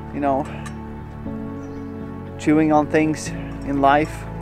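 Clear music plays in the background while a man speaks at a very slow pace in a dry sound with no echo. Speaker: travel vlogger. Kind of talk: casual vlog chat. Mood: relaxed, playful. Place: open country. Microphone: phone near.

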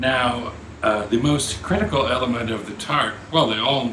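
The recording has audible room echo and light background noise. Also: man. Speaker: cooking show host. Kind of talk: tutorial. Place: kitchen.

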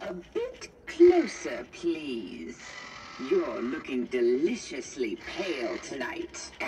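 A man in a cartoonish character voice, high-pitched and very slow, with clear background noise. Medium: puppet. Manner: flirtatious, teasing.

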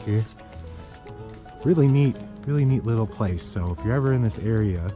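Clear music plays behind a man who speaks fairly quickly at a fairly low pitch, in a dry sound with no echo. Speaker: vlogger. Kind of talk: casual vlog chat. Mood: relaxed, upbeat. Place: open country. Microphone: phone near.

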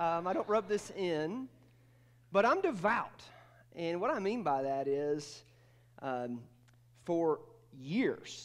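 The pace of this man's speech is very slow. Long, frequent pauses break it up. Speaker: preacher. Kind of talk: sermon. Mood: humorous, playful. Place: church.

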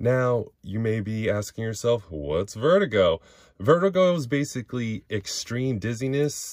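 A man speaks at a fairly slow pace. The sound is dry with no echo, and the background is quiet. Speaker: toy collector channel host. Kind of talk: casual vlog chat. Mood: grateful, candid, personal. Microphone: phone near.

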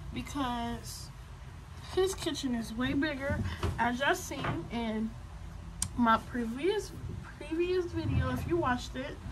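Amid noticeable background noise, a woman talks very slowly, with long, frequent pauses. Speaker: lifestyle vlogger. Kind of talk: casual vlog chat. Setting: outdoors and in a grocery store. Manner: animated.

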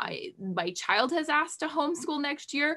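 Over a quiet background, a woman's raised, projected voice moves at a moderate pace with lively intonation and a bright, sharp tone. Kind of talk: casual vlog chat.

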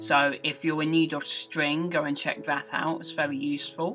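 Faint background music behind a woman with a British accent, a very deep, low pitch and a moderate pace. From England. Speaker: gaming news vlogger. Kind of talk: casual gaming news vlog. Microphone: webcam.

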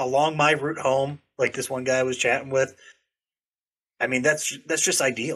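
A man speaks at a moderate pace in a bright, sharp tone. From New Hampshire, US. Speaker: airsoft content creator. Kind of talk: casual chat. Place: home room. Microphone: studio mic.

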